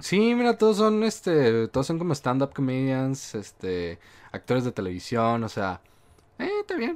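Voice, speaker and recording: At a fairly slow pace, a man of medium pitch speaks with very wide pitch swings. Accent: Mexican. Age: 20s. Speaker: podcast host. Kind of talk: casual chat.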